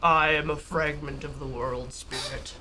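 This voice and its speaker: In a booming, put-on character voice at a middle pitch, the speaker moves at a moderate pace over clear background noise. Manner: all-caps, overwhelming, permeating.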